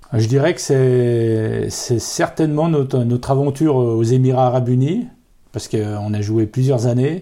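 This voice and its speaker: A man speaks in a dark, mellow tone at a medium pitch. His pace is fairly slow, and his pitch variation is ordinary. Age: 40s. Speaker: accordionist in a folk band. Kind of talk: interview. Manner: hesitant, many fillers.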